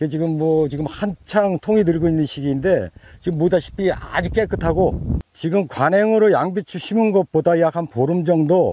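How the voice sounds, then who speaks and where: In a dark, mellow tone and a fairly high pitch, a man speaks at a fairly slow pace, with a dry sound, no echo and light background noise. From South Korea. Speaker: farmer. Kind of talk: testimonial interview. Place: farm. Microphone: lapel.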